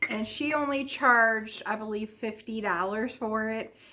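A woman's bright, sharp voice at a very slow pace, ordinary pitch variation, light background noise. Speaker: haul vlogger. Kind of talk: casual vlog chat. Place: home room. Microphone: phone near.

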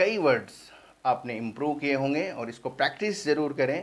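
At a fairly slow pace, a man with a fairly high pitch talks with ordinary pitch variation. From India. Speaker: English teacher. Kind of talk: tutorial. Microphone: phone near.

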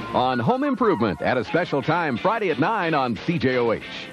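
Music plays behind a man speaking at a fairly quick pace in a fairly high pitch. His pitch swings very widely while his loudness stays very even. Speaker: voiceover announcer. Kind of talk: TV commercial read. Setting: studio.

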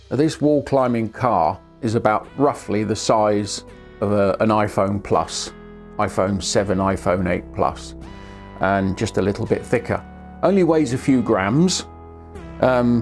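Faint music plays behind a man with a fairly low pitch. He speaks fairly slowly, with long, frequent pauses. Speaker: product reviewer. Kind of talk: product review to camera. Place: studio. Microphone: lapel.

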